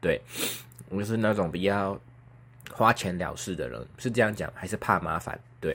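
A man talks in a fairly low pitch with vocal fry. He leaves long, frequent pauses. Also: ordinary pitch variation, moderate pace. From Taiwan, Kaohsiung. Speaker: podcaster. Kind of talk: casual solo chat. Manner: clear articulation today, no braces.

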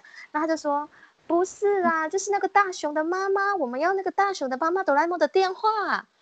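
The speech moves at a fairly quick pace with ordinary pitch variation, and the sound is dry and close with no echo. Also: woman, extremely high pitch for a woman. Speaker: customer service agent. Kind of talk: casual chat.

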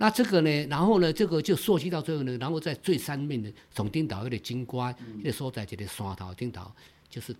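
A man speaks at a fairly quick pace in a fairly high pitch. His voice shows very wide pitch swings and big swings in loudness. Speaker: Taiwanese-language songwriter. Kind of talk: casual interview chat. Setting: at guest's creative base. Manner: animated.

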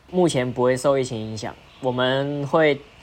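This man has an unremarkable speaking voice, medium in pitch, at a moderate pace. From Malaysia. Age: 20s. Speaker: diabolo performer. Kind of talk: casual interview.

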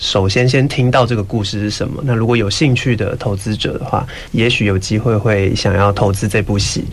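A man talks with hardly any pauses and fairly even intonation against noticeable background noise. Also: fairly low pitch for a man, fairly quick pace. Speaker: musical theatre actor. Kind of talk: interview. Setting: studio.

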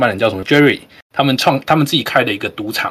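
This man's voice sits fairly high in pitch. His pitch variation is ordinary. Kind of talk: casual group chat.

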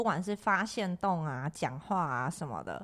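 A woman with a fairly low pitch speaks at a fairly slow pace with lively intonation. The recording is very clean, and the background is silent. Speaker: crystal shop owner and podcast host. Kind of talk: casual chat. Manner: loud; talkative, animated.

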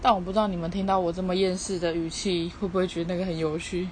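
Amid noticeable background noise and audible room echo, a woman with a Taiwanese accent talks at a very fast pace in a fairly low pitch with monotone, flat intonation. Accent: Taiwanese Mandarin. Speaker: podcaster. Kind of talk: casual monologue. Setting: at home. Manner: weary, flat.

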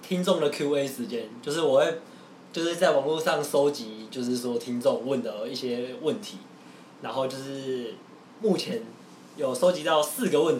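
A man at fairly high pitch and moderate pace, with audible room echo and noticeable background noise. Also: lively intonation. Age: 20s. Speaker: podcast host. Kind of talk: casual chat.

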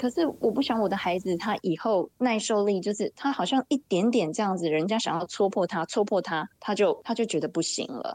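Hardly pausing at all, a woman talks at a fairly quick pace with lively intonation and a medium pitch, the sound dry and close with no echo. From Taiwan. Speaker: mother living abroad. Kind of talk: casual chat.

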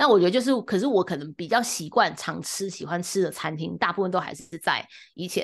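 A woman with a Taiwanese accent, medium-pitched and lively in intonation, at a fairly quick pace against a quiet background. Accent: Taiwanese Mandarin. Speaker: podcast co-host. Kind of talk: casual chat. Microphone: new microphone, first episode using it.

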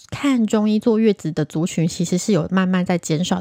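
In a Taiwanese accent, a woman speaks at a moderate pace with a medium pitch and ordinary pitch variation. Her dark, mellow tone comes through dry and close with no echo, in a very clean recording with a silent background. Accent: Taiwanese Mandarin. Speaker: podcast host, Chinese medicine doctor. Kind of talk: casual solo podcast talk.

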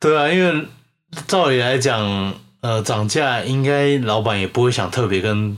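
A man's medium-pitched voice, fairly slow in pace, with lively intonation and very even loudness. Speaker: podcast co-host. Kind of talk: casual chat.

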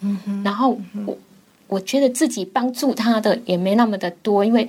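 This woman's fairly high voice shows ordinary pitch variation as she keeps to a moderate pace. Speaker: cancer patient, radio drama student. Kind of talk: interview.

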